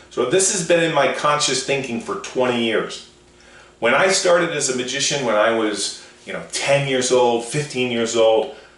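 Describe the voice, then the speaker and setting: A man speaks at a moderate pace and a medium pitch, his intonation lively. Audible room echo and noticeable background noise surround his voice. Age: 60s. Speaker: motivational speaker. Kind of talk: radio show monologue.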